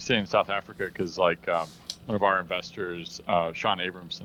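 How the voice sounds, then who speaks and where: A man with a Midwestern accent speaks at a very deep, low pitch. His tone is bright and sharp, and his intonation stays fairly even. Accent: General American Midwestern. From US Midwest. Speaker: tech company co-founder. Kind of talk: casual interview chat.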